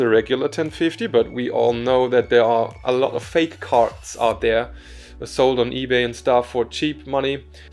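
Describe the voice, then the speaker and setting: There is music in the background while a man talks. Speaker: tech YouTuber. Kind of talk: unscripted hardware review. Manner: halting, many fillers.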